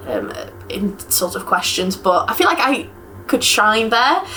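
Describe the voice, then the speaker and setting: A woman speaks with lively intonation in an English accent. Noticeable background noise can be heard. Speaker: university student. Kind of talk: casual interview.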